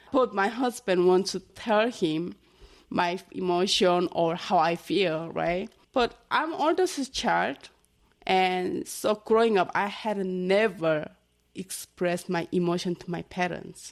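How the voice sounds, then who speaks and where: With a Korean accent, a woman speaks at a very slow pace, her medium pitch showing ordinary variation. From North Korea. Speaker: North Korean defector. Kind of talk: interview. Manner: halting.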